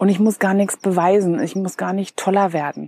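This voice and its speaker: A woman talks in an ordinary speaking voice at medium pitch and a moderate pace. The sound is dry and close, with no echo. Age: 40s. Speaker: podcast host and business coach. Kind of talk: personal storytelling monologue. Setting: outdoors at night.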